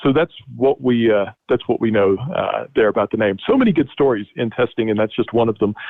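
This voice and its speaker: The loudness stays very even throughout. Delivery moves at a fairly quick pace. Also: man. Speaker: historian. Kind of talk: webinar lecture. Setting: online webinar. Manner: fast.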